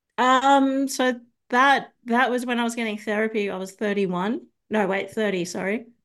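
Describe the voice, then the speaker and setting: Over a quiet background, a woman with a fairly high pitch talks at a moderate pace in an Australian accent. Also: ordinary pitch variation. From Australia, Sydney. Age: 30s. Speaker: ex-Scientologist. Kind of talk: interview testimony.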